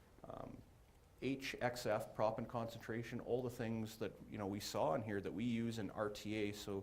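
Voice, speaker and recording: With audible room echo around him, a man speaks at a medium pitch with fairly even intonation. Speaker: geoscience presenter. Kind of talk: technical presentation. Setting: conference room with audience. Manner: fast.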